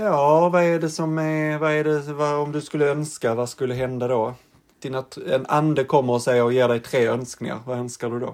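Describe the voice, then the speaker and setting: This is a normal speaking voice, with fairly even intonation and a moderate pace. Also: man, fairly high pitch for a man. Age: 30s. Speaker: podcast host. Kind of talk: casual chat.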